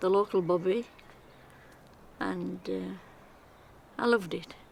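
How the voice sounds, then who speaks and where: In a Cumbrian accent, a woman speaks at a fairly slow pace with long, frequent pauses. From Cumbria (Penrith, Lake District). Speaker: local resident. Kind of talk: personal reminiscence.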